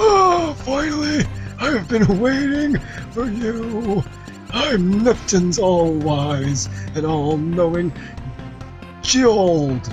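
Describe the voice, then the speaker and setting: Over clear background music, a put-on character voice at a middle pitch unfolds at a very slow pace with long, frequent pauses. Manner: excited, proclaiming.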